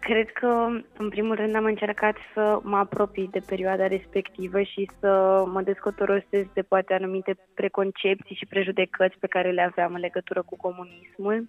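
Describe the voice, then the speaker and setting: At a moderate pace and with hardly any pauses, a woman of medium pitch speaks with monotone, flat intonation. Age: 20s. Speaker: actress. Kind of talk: interview.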